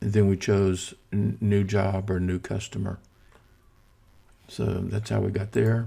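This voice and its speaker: In a dark, mellow tone with vocal fry, the speaker moves at a very slow pace with ordinary pitch variation. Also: man. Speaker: software tutorial instructor. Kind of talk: tutorial. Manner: casual, with fillers.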